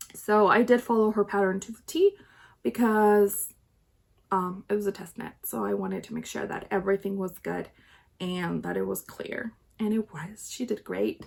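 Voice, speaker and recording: A woman with a slight Chilean accent at a moderate pace, with big swings in loudness. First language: Spanish. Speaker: knitting podcaster. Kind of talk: casual video podcast chat. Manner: chatty, frequent fillers and restarts.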